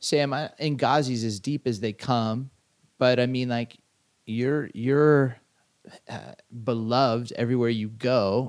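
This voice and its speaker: A man speaks with an unremarkable speaking voice. His pitch is medium and his intonation fairly even. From Southern California. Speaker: podcast co-host, pastor. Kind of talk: casual chat.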